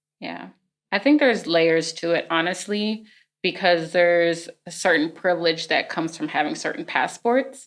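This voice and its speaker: On a very clean recording with a silent background, a normal speaking voice talks at a moderate pace. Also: woman, fairly low pitch for a woman, ordinary pitch variation. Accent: American. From United States. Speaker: community organization co-founder. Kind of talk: casual interview.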